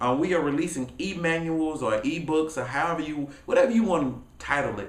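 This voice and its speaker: Amid audible room echo and noticeable background noise, a man speaks in an energetic tone at a fairly quick pace, fairly high in pitch, with lively intonation. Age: 20s. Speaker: motivational speaker and author. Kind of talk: casual vlog talk to camera. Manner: fast.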